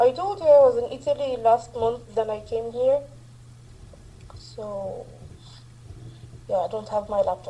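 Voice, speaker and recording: A woman talks fairly slowly, pausing long and often, as noticeable background noise plays. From Egypt. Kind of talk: casual chat.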